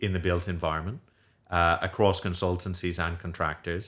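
In a very clean recording with a silent background, a man speaks with a very deep, low pitch. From Ireland. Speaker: student housing developer. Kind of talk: interview. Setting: studio.

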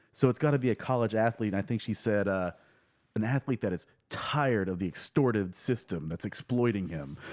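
With an unremarkable speaking voice, a man speaks in a fairly low pitch with lively intonation, in a dry, close sound with no echo on a very clean recording with a silent background. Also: fairly quick pace. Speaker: guest host. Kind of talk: casual comedic chat.

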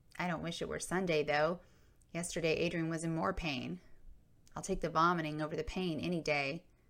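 Vocal fry at a fairly quick pace. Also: woman, fairly low pitch for a woman. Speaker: podcast host and memoir storyteller. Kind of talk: narration of a memoir. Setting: recorded for video and podcast.

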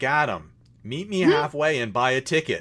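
Putting on a booming character voice, a man speaks at a fairly quick pace with a fairly high pitch.

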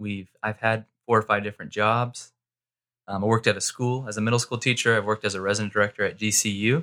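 Speaking very fast with an American accent, a man uses a fairly low pitch and a bright, sharp tone in a monotone, flat intonation. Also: dry, close sound with no echo, very clean recording, silent background. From Arizona, US (Mesa). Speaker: pastor. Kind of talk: casual chat. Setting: studio.

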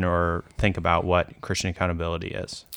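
On a very clean recording with a silent background, a man speaks at a fairly quick pace with a very deep, low pitch. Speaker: podcast host. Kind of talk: casual interview chat.

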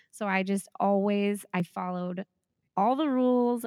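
A woman with an American accent at a medium pitch, with ordinary pitch variation, a fairly slow pace and a dry, close sound with no echo. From Southern California, Riverside. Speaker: elementary school teacher and podcaster. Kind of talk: casual interview chat.

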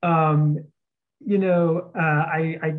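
This man has a fairly high pitch. He speaks with an American accent. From Texas, outside San Antonio. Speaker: seminary director and author. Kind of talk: interview conversation.

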